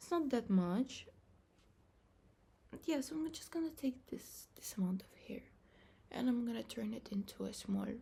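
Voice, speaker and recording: A woman with a non-native accent speaks high and at a moderate pace, her dark, mellow tone carrying lively intonation, big swings in loudness and long, frequent pauses. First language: not English. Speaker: vlogger. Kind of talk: casual vlog talk. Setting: bathroom.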